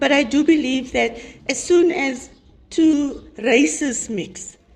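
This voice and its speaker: A woman's high-pitched voice at a very slow pace, with ordinary pitch variation, audible room echo and noticeable background noise. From South Africa, coloured community. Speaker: panel discussion participant. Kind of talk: group discussion. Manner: halting, with repeated words.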